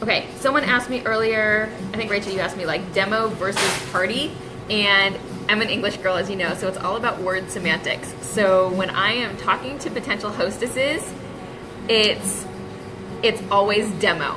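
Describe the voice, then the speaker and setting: A woman's medium-pitched voice with ordinary pitch variation, audible room echo and noticeable background noise. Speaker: direct sales team leader. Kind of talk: live-streamed team training talk. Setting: coffee shop, live stream. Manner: fast; casual, filler-heavy.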